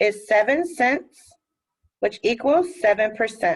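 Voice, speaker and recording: Pitch swings very widely as a woman with an American accent speaks. Her pace is very slow. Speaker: math teacher. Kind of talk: recorded lesson. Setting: recorded video lesson.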